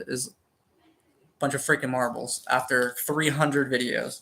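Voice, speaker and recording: The man's fairly high pitch stays monotone and flat as he talks at a moderate pace. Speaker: thrift reseller and hobby video maker. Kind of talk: casual unboxing chat with viewers. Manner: halting, with many fillers and restarts.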